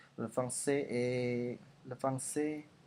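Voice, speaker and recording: The speaker has an Indonesian accent. The intonation is monotone and flat. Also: man. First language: Indonesian (speaking French). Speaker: language learner vlogger. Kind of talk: language progress video monologue. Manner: halting, many hesitations and repetitions.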